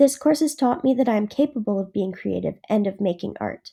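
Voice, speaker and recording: A woman with a dark, mellow tone at a moderate pace. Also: very clean recording, silent background. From northern Ontario, Canada (Franco-Ontarian). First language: French. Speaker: university student. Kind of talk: scripted narration. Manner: formal.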